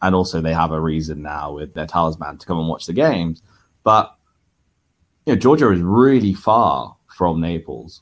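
Over a silent background in a very clean recording, a man with a British accent speaks at a moderate pace in a very deep, low voice, his pitch varying in an ordinary way while his loudness swings widely. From Italy, left at age five. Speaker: football fan. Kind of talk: casual interview.

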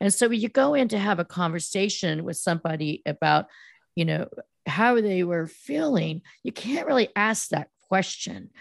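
A woman with an American accent and vocal fry, medium in pitch, lively in intonation, at a moderate pace, in a dry, close sound with no echo against a quiet background. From US West Coast, Silicon Valley. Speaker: PR firm founder, former news reporter. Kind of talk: interview.

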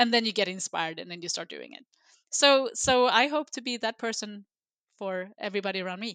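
On a very clean recording with a silent background and a dry, close sound with no echo, a woman with a Swedish accent speaks at a fairly quick pace in a fairly high pitch, her tone bright and sharp, with ordinary pitch variation and big swings in loudness. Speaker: sustainability executive. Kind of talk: interview.

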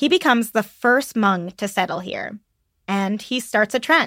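A woman talks in a plain, everyday voice, fairly high in pitch with ordinary pitch variation. The sound is dry and close with no echo, and the recording is very clean with a silent background. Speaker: podcast producer. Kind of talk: casual chat.

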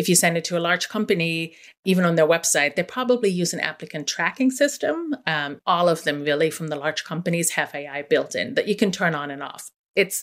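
A woman with a German accent uses lively intonation in a fairly low voice. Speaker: investigative journalist. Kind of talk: radio interview.

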